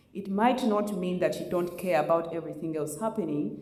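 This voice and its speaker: Lively intonation at a moderate pace comes through noticeable background noise and audible room echo. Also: woman. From Uganda. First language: Luganda. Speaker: community panelist. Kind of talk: panel discussion. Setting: community event with audience.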